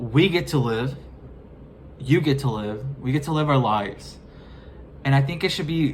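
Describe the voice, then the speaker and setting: The speaker talks at a moderate pace with an American accent and ordinary pitch variation. Audible room echo surrounds the voice. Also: man. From US, Mexican American. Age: 20s. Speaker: vlogger. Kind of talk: casual monologue vlog. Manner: halting.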